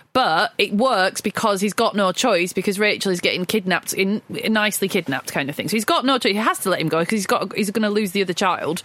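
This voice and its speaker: Through noticeable background noise, a woman rattles on at a very fast pace with hardly any pauses, ordinary pitch variation and very even loudness. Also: medium pitch for a woman. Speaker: film podcast co-host. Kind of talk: casual film discussion.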